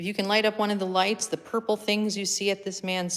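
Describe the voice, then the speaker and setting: A woman speaks at a medium pitch and a moderate pace. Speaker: paranormal investigator. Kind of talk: live paranormal session, calling out to spirits. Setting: attic of an old building, live stream. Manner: loud.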